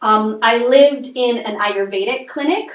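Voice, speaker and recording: A woman's fairly high voice with ordinary pitch variation, an unremarkable speaking voice. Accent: Canadian. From Canada, Montreal. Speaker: nutritional consultant and chef. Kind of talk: podcast interview.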